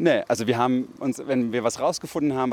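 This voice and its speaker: A man talks at a fairly quick pace in a plain, everyday voice, with ordinary pitch variation. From Berlin, Germany. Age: 20s. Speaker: radio feature author. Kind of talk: interview.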